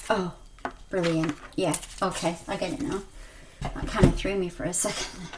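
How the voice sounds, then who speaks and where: Lively intonation from a woman at medium pitch and moderate pace, with long, frequent pauses, audible room echo and noticeable background noise. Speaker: spiritual card reader. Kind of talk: card reading. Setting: video on own channel. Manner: mumbling at times.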